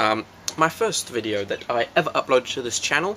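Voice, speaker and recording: Noticeable background noise sits behind the voice. A man speaks fairly slowly. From New Zealand. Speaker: vlogger. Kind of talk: casual vlog.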